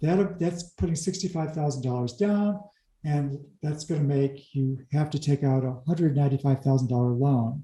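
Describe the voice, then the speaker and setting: A somewhat breathy male voice with a dark, mellow tone and ordinary pitch variation. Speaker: commercial real estate loan expert. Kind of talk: interview-style explainer video.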